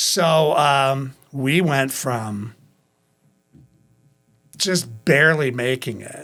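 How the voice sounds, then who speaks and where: A man with a Midwestern American accent speaks at a very slow pace in a bright, sharp tone with ordinary pitch variation. He takes long, frequent pauses on a very clean recording with a silent background. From Waukegan, Illinois. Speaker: pastor and ministry director. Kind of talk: interview answer.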